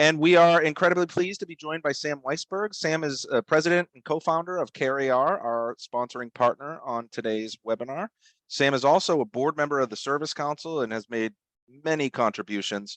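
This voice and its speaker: Against a quiet background with a dry, close sound and no echo, a man with a Boston accent talks at a fairly high pitch, showing ordinary pitch variation and big swings in loudness. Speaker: webinar host. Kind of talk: webinar presentation. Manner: halting, many fillers.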